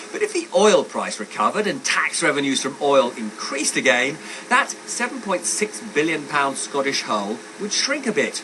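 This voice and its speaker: Over noticeable background noise, the voice swings very widely in pitch. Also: man, high pitch for a man, moderate pace. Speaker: economics editor. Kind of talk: TV news report. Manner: highly varied intonation, high pre-heads, rising heads.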